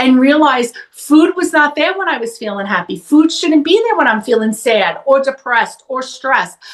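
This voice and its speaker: A woman talks loudly. Her pace is moderate. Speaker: psychotherapist. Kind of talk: interview conversation.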